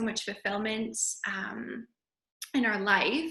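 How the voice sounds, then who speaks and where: Her voice is fairly high, bright and sharp, with a Canadian accent. The woman talks at a fairly slow pace. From Canada, Calgary. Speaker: yoga teacher. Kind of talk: interview.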